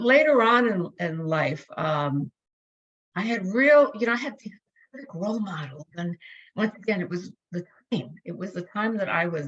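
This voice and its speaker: A somewhat breathy woman with very wide pitch swings and long, frequent pauses. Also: medium pitch for a woman, moderate pace. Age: 60s. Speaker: psychology professor and academic leader. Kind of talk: interview. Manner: halting.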